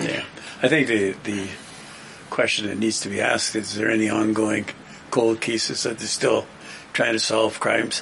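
A man with a Canadian accent speaks at a fairly low pitch and a moderate pace, monotone and flat, with long, frequent pauses. Noticeable background noise sits behind him. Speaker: political panelist. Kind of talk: casual panel discussion.

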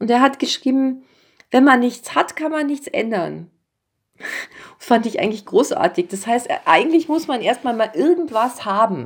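Her voice is high-pitched for a woman, at a moderate pace. The woman's intonation is lively. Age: 50s. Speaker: children's and young adult author. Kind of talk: casual interview.

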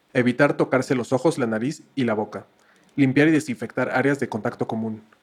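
A man speaks at a medium pitch with fairly even intonation in a normal speaking voice. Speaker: podcast co-host. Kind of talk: scripted announcement; casual chat. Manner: formal.

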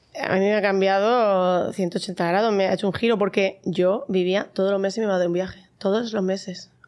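At a moderate pace, a woman speaks in a medium pitch with a flat, monotone intonation. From Spain, Murcia. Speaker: mom influencer. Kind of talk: casual chat.

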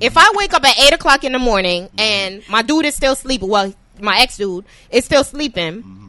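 A woman speaks at a fairly quick pace in a high, animated voice. Her pitch swings very widely over noticeable background noise. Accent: American. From New York. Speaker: podcast host. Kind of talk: casual chat.

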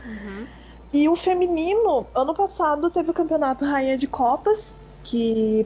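Noticeable background noise runs under this recording. A woman speaks with lively intonation. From Mato Grosso, Brazil. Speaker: professional esports player. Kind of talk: casual radio interview.

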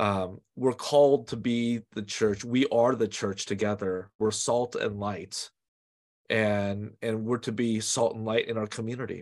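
Against a quiet background, a man with an American accent speaks fairly slowly in an unremarkable speaking voice, medium in pitch and fairly even in intonation. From US West Coast, San Francisco Bay Area. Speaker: pastor. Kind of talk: interview.

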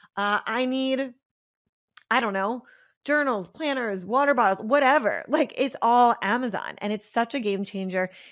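The recording is very clean, with a silent background. A woman speaks in an animated tone at a high pitch with ordinary pitch variation. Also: moderate pace. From Pennsylvania, US. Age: 30s. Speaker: podcast host and business coach. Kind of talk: casual solo podcast monologue.

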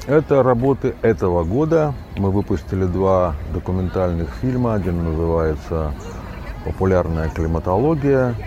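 Very deep, low man's voice with very wide pitch swings over noticeable background noise. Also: moderate pace. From Russian Far East. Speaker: journalist and TV editor. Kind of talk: interview. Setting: outdoors by the sea.

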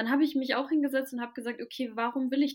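A woman at a very fast pace, fairly even in intonation. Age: 20s. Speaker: spiritual content creator. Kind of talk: casual chat.

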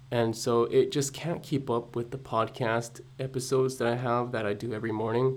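A quiet man of medium pitch at a moderate pace, with monotone, flat intonation and hardly any pauses. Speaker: podcaster and vlogger. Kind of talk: solo podcast monologue. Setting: at home early morning. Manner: hesitant, many fillers; quiet, holding voice down.

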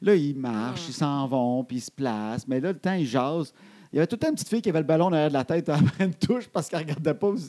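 With a Quebec accent, a man talks very fast at a fairly high pitch, his tone dark and mellow and his intonation lively. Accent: Québécois French. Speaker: podcast co-host. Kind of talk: casual chat.

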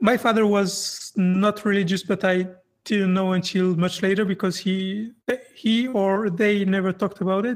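A woman with a French accent speaks in a monotone, flat intonation on a very clean recording with a silent background. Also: medium pitch for a woman, moderate pace, very even loudness. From France. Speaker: atheist podcast host. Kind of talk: interview. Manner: halting.

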